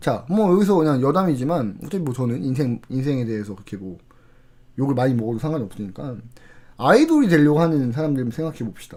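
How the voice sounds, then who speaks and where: In a room with audible echo, a man speaks very fast at a medium pitch, his tone dark and mellow and his intonation lively. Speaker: CS trainer / lecturer. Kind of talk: lecture.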